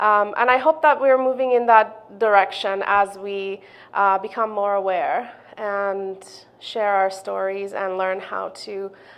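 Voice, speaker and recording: At a fairly slow pace, a woman talks in a non-native accent. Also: medium pitch for a woman, ordinary pitch variation. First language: not English. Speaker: community member sharing racism experience. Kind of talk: testimony. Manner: halting, many fillers.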